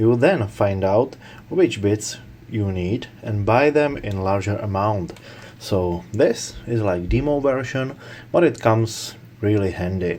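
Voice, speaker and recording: Speaking at a fairly slow pace, a man with a non-native accent has a fairly low pitch. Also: ordinary pitch variation. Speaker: tool reviewer. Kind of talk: product review talk to camera.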